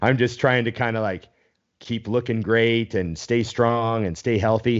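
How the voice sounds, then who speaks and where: A man's fairly low-pitched voice at a moderate pace, an ordinary speaking voice. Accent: Canadian. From Canada. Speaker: bodybuilding podcast host and coach. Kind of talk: casual chat. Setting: live stream video call.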